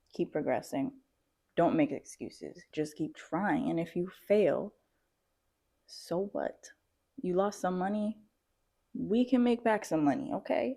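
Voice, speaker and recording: Soft-spoken and dark, mellow in tone, a woman at medium pitch moves at a fairly slow pace with very wide pitch swings and long, frequent pauses, on a very clean recording with a silent background. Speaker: vlogger and aspiring entrepreneur. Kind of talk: motivational vlog talk. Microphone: new mic, first recording.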